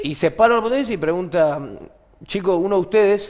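Speaking in a Rioplatense accent, a man keeps a moderate pace and ordinary pitch variation. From Argentina. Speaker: comedian and podcast host; comedian, podcast host. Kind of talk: casual chat. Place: studio.

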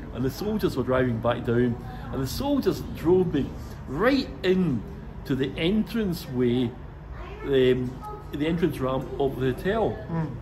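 With background noise noticeable throughout, the man's speech unfolds at a fairly slow pace. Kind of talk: interview answer, storytelling. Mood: amused, lively storytelling. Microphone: phone near.

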